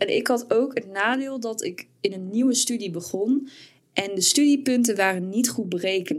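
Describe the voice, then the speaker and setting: A woman with an ordinary speaking voice, fairly high in pitch, at a moderate pace with ordinary pitch variation. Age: 20s. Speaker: podcast co-host and student. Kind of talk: casual chat.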